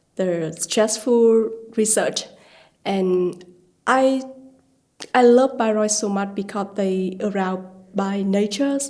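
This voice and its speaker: A woman with a Vietnamese accent speaks at a medium pitch and a very slow pace, with a dark, mellow tone, ordinary pitch variation and long, frequent pauses. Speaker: student researcher. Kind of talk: interview testimony. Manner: halting.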